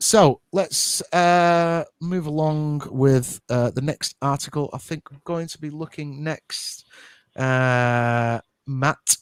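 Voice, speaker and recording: Speaking very slowly with a British accent, a man with a fairly high pitch and ordinary pitch variation swings widely in loudness, in a dry, close sound with no echo on a very clean recording with a silent background. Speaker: podcast host. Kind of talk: live show chat.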